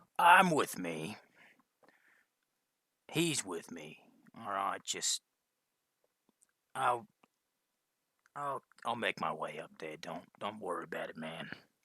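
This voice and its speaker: Putting on a raspy character voice, a man speaks at a fairly slow pace and a medium pitch with very wide pitch swings. His loudness swings a lot, and he takes long, frequent pauses. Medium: actual play. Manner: irritable, dismissive.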